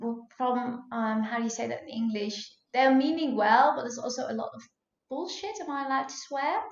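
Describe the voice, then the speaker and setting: Someone with a Dutch accent talks at a fairly quick pace with ordinary pitch variation, with audible room echo. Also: woman, high pitch for a woman. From Netherlands. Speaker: food blogger and cookbook author. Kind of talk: podcast interview. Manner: hesitant, many fillers.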